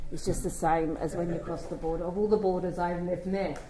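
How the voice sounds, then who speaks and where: A woman is speaking. Audible room echo is present around her voice. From London, England. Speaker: children's commissioner. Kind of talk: conference speech.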